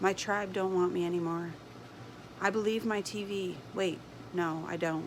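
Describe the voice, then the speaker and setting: Noticeable background noise runs under a woman's fairly low voice. She talks at a moderate pace in a monotone, flat way. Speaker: homesteader. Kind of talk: spoken word poetry. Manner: impassioned.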